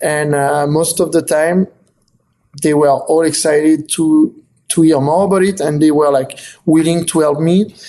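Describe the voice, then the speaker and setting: This man has a fairly high pitch and a dark, mellow tone. He talks at a moderate pace with monotone, flat intonation and very even loudness. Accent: strong French. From south of France. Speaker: photographer and author. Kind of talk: interview. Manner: halting, many fillers and repetitions.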